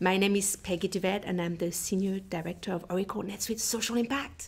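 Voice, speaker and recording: A woman speaks with a French accent. Her pitch varies in an ordinary way. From France (southern Alps). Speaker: nonprofit technology director. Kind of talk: podcast interview.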